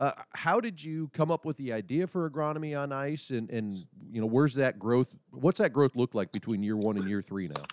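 A man with an American accent has an unremarkable speaking voice at medium pitch, moving at a fairly quick pace with lively intonation. The sound is dry and close, with no echo. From Nebraska. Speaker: podcast host for an equipment company. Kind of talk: casual interview.

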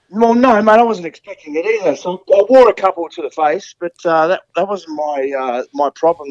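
Lively intonation from a man with an Australian accent. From Tasmania. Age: 40s. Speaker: retired footballer. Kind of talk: interview. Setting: video call.

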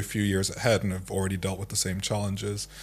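Somewhat breathy and fairly low-pitched, a man speaks with a slight Irish accent. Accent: Irish-tinged English. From Nigeria. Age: 30s. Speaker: founder and CEO of a tech consultancy. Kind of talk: casual interview. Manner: calm, measured.

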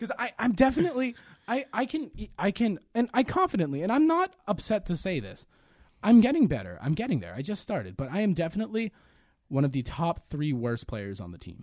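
A man talks at a fairly quick pace in an American accent. His pitch is high, with very wide pitch swings. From Quincy, Massachusetts (Boston area). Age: 20s. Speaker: college student podcast co-host. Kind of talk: casual chat.

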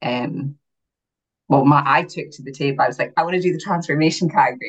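A woman with an Aberdeen accent talks at a fairly quick pace. Her intonation stays fairly even. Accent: Aberdeen Scottish (Doric-tinged). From Aberdeen, northeast Scotland. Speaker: bodybuilding competitor, beauty pageant winner. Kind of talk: casual interview chat.

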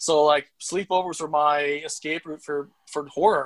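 With a Canadian accent, a man speaks in monotone, flat intonation at a fairly high pitch. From Saskatchewan, Canada. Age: 40s. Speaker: horror film writer. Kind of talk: casual chat.

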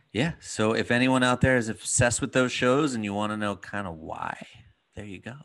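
Against a quiet background, a man with a normal speaking voice speaks at a fairly quick pace. His medium pitch shows ordinary pitch variation. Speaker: podcast host and dad coach. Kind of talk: casual interview conversation.

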